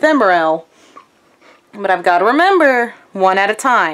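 In an American accent, a woman speaks at a fairly slow pace with very wide pitch swings over a quiet background. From US South. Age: 20s. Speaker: vlogger. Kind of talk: casual vlog. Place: home room. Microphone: phone near.

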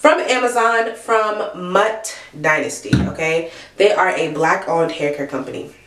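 A woman's pitch swings very widely. Audible room echo surrounds her voice. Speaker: hair care vlogger. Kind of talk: casual vlog chat. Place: bathroom. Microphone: phone near.

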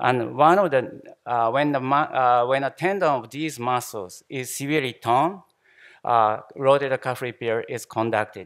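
A man keeps a moderate pace and ordinary pitch variation while the background stays quiet. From Japan, Shimane. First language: Japanese. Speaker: anesthesiologist, professor. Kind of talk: conference lecture. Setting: conference hall with audience. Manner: halting, many fillers and repetitions. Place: hall.

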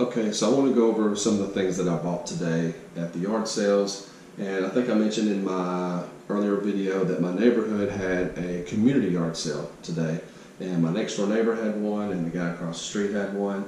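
A man talks at a fairly quick pace and fairly low pitch with fairly even intonation, amid light background noise and audible room echo. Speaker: yard sale reseller. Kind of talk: casual vlog chat. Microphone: phone near.

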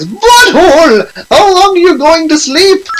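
Extremely high pitch and a fairly slow pace in a put-on character voice. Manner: scolding, exasperated.

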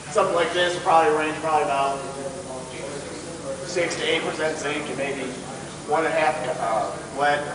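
A man talks fairly quickly while noticeable background noise and audible room echo fill the space. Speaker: mine geologist guide. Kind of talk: explanatory tour talk. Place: tunnel cave. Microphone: camera far.

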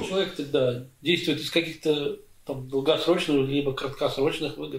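A man's fairly high voice at a moderate pace, fairly even in intonation, with audible room echo. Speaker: interviewer. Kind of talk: interview question. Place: home room. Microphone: camera far.

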